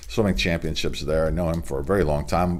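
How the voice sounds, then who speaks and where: A man's voice carries audible room echo. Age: 60s. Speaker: sports show host. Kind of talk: sports news report. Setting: home studio. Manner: casual.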